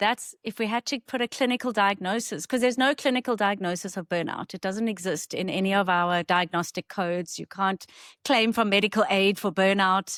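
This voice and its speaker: With a South African accent, a woman speaks at a fairly quick pace with hardly any pauses, her medium-pitched voice showing ordinary pitch variation in a dry, close sound with no echo on a very clean recording with a silent background. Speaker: clinical psychologist. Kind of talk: interview.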